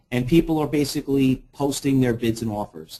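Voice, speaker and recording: This man speaks in a New York accent. His tone is dark and mellow. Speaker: trading educator. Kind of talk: webinar presentation. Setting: online webinar. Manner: fast.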